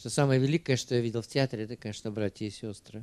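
A man speaks at a medium pitch with a dark, mellow tone and fairly even intonation. The sound is dry, with no echo. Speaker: film club host. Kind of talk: public Q&A moderation. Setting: stage with audience. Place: hall. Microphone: handheld.

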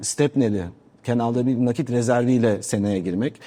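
This man has a dark, mellow tone at a medium pitch and fairly even intonation. He talks at a fairly quick pace against a quiet background. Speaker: business association president. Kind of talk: TV interview. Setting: TV studio, live.

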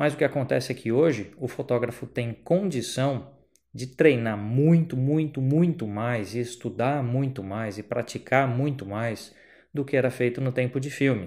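A man speaks fairly slowly. Behind him, things are quiet. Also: ordinary pitch variation. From Brazil. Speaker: photographer and photography teacher; photography teacher. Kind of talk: educational vlog monologue. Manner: casual, conversational. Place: home room. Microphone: handheld.

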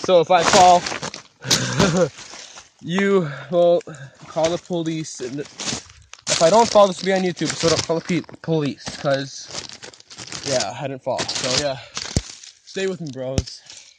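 A fairly slow pace broken by long, frequent pauses. Loud background noise sits under a dry sound with no echo. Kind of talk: casual vlog chat. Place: forest. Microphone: phone near.

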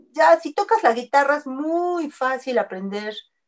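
The pitch of this woman's speech shows ordinary variation. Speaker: singer. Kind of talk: interview.

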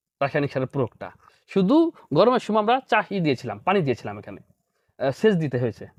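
Against a quiet background, with a dry, close sound and no echo, a man's fairly high voice swings very widely in pitch. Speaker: doctor and farmer. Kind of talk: interview.

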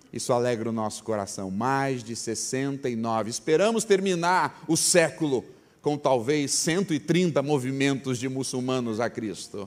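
Speaking at a very slow pace with hardly any pauses, a man uses a medium pitch and lively intonation. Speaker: preacher, mission organization president. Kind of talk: sermon.

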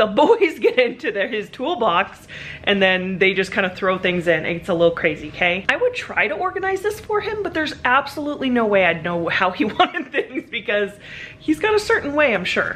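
There is light background noise. A woman speaks at a fairly quick pace with very wide pitch swings. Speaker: family vlogger. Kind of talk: casual vlog chat. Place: garage. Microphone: phone near.

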